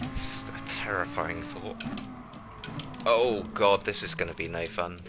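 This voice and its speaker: Music plays in the background of a room with audible echo. A woman with a very deep, low pitch talks fairly slowly, swinging her pitch very widely. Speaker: gaming streamer. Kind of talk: live gameplay commentary.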